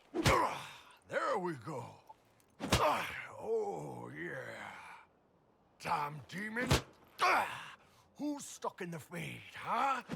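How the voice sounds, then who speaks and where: A man's put-on character voice, raised and projected, raspy, at a very slow pace with long, frequent pauses. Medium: video game. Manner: gruff, crude.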